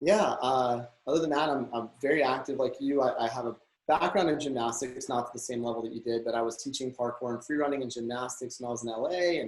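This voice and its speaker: A man talks very fast with an American accent, his medium pitch carried on fairly even intonation. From Texas, Houston. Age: 30s. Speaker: real estate broker and former actor. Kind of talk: interview. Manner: hesitant, many fillers.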